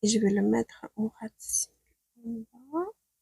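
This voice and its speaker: The sound is dry and close, with no echo. A woman talks at a very slow pace. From Ukraine. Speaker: beauty stylist. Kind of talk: makeup tutorial talk to camera.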